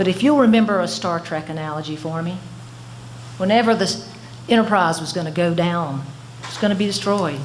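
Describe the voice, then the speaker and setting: A woman speaks at a medium pitch and a moderate pace, with lively intonation. The room echo is audible, and there is noticeable background noise. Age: 60s. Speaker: former insurance regulator, consultant. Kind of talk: public testimony at a hearing. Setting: public hearing. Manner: impassioned, pleading.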